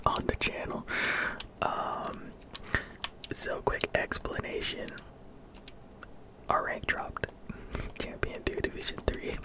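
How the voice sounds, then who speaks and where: A man whispers in a relaxed tone at a very slow pace, with long, frequent pauses. Noticeable background noise runs underneath. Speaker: gaming ASMR content creator. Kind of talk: casual gameplay commentary. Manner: relaxed, quiet.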